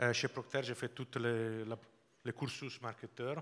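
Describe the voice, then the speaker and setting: A man speaks with a slight Italian accent. His pitch sits in the medium range. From Italy, Sardinia. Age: 50s. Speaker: business executive. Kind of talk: interview. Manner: halting.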